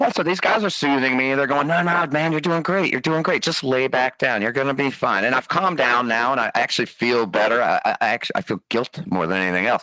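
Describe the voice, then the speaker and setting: The speech is very fast, with lively intonation, very even loudness and hardly any pauses. Noticeable background noise can be heard. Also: man, medium pitch for a man. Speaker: podcast host, former fighter pilot. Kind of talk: casual storytelling interview. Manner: animated.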